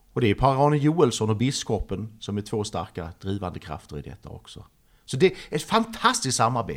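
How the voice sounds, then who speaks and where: A man's medium-pitched voice with vocal fry, very wide pitch swings, big swings in loudness and a fairly quick pace, on a very clean recording with a silent background. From Sweden, Trelleborg (Skåne). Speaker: artist. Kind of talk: interview.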